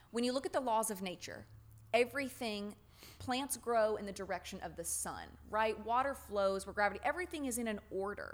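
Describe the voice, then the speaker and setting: A woman with an American accent has a normal speaking voice at a fairly high pitch. She talks at a fairly quick pace with lively intonation. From US South. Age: 20s. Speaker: podcast host, religion researcher. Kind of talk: casual chat.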